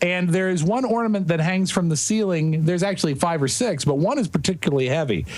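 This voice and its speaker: Speaking at a very fast pace with hardly any pauses, a man with a high pitch and lively intonation keeps his loudness very even, with audible room echo and noticeable background noise. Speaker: podcast co-host guest. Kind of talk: casual chat. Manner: animated.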